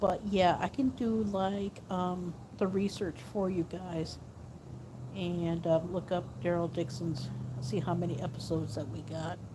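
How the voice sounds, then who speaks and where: Soft-spoken and fairly low in pitch, a woman talks at a fairly slow pace with ordinary pitch variation. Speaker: vlogger. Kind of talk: casual vlog. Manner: soft-spoken, talking low; halting, many fillers.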